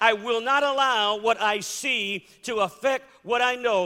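Raised and projected, a man's voice carries a bright, sharp tone. He speaks at a very slow pace. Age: 50s. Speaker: preacher. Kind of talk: sermon. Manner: animated.

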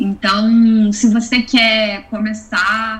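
A woman speaks with a Rio de Janeiro accent at a fairly high pitch. Her intonation stays fairly even over noticeable background noise. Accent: carioca (Rio). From Rio de Janeiro, Brazil. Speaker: angel investor. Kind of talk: interview.

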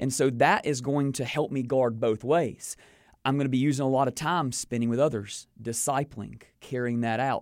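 A man with a North Carolina accent speaks at a moderate pace and medium pitch in a very clean recording with a silent background. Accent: Southern US (North Carolina). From North Carolina (King, Piedmont). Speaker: pastor and author. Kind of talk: interview.

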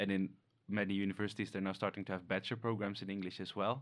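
Over a quiet background, a man with a fairly low voice talks very fast. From Netherlands. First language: Dutch. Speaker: animal ecologist researcher.

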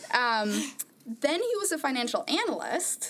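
A woman's high-pitched voice with very wide pitch swings over noticeable background noise. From Norway. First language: Norwegian. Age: 20s. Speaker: podcast panelist. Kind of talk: casual chat.

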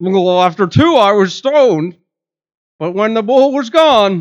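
In a put-on character voice with fairly high pitch, the speaker goes at a fairly slow pace over a quiet background. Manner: goofy, cartoonish.

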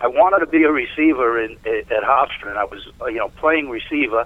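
Here is a man with an American accent and an unremarkable speaking voice. He talks at a fairly quick pace with ordinary pitch variation. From New York City, East Harlem, then Long Island. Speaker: former lacrosse player. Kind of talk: interview.

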